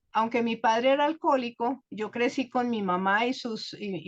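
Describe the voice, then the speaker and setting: Speaking at a very slow pace, a woman talks in a Bogotá accent. Her intonation is fairly even. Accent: Bogotá Colombian Spanish. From Colombia, Bogotá. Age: 70s. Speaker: guest speaker sharing life story. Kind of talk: personal testimony.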